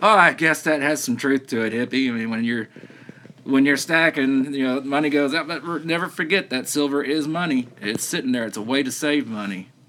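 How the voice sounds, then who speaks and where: Over noticeable background noise, a man with a Southern US accent talks at a fairly quick pace, his pitch fairly high with ordinary variation. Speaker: silver stacking livestreamer. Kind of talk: casual chat. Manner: halting.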